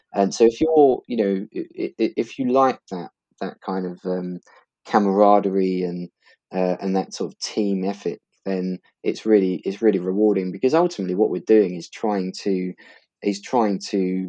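A dark, mellow tone with a slight East London accent, fairly even intonation, a fairly slow pace and big swings in loudness, in a dry, close sound with no echo against a quiet background. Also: man. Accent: East London, Essex, slight. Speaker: law firm partner. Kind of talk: casual interview.

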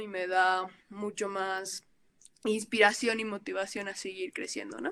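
A woman speaks at a medium pitch and a moderate pace, her tone bright and sharp. The sound is dry and close, with no echo. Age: 20s. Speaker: photographer. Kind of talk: casual chat.

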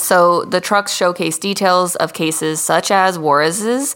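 A woman speaks at a fairly low pitch with ordinary pitch variation. Hers is an unremarkable speaking voice. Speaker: podcast host. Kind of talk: casual, heavy profanity.

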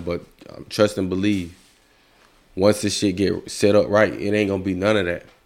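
A man speaks with a very deep, low pitch at a fairly quick pace. His intonation is monotone and flat. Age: 30s. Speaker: podcast host. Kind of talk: casual chat.

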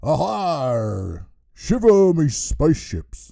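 A man speaks very slowly in a put-on character voice at a medium pitch. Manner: playful, theatrical.

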